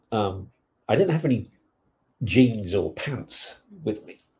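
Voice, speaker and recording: Somewhat breathy, this man's voice has a dark, mellow tone and comes with an English accent. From England. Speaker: podcast co-host. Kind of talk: casual chat.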